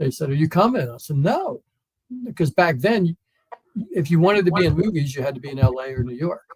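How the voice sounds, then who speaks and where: A man with an American accent speaks at a fairly quick pace and a fairly high pitch. His voice is somewhat breathy, with lively intonation. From US East Coast, Wilmington, Delaware. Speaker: comedian and former stuntman. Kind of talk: casual interview chat.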